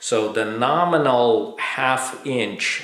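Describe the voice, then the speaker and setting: A man's voice shows ordinary pitch variation in audible room echo. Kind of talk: tutorial. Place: workshop.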